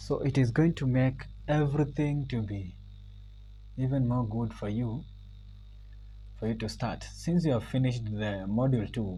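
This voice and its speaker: A man with a dark, mellow tone and medium pitch speaks at a moderate pace, with ordinary pitch variation. Long, frequent pauses break up his speech, and room echo is audible. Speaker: computer skills instructor. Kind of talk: tutorial. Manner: loud and clear; halting, with many fillers.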